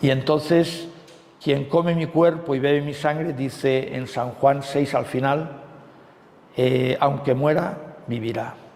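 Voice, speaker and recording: Very slow, fairly even delivery over noticeable background noise. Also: man, fairly high pitch for a man. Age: 60s. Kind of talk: retreat talk. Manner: conversational with frequent fillers.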